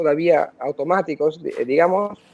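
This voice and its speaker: At a moderate pace, a man speaks with ordinary pitch variation. His pitch is fairly high. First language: Italian (speaking Spanish). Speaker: polyglot, language coach. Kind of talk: interview. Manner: halting, frequent self-corrections.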